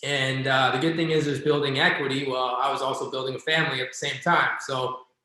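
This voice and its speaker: With audible room echo, a man talks at a very fast pace in a fairly high pitch and a monotone, flat intonation. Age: 30s. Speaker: real estate agent and investor. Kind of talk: casual interview chat.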